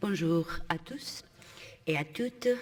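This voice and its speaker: The pace is very slow. A woman talks with a non-native accent. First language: not French (speaking French). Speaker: panel speaker, drug users' network representative. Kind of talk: conference presentation. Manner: halting.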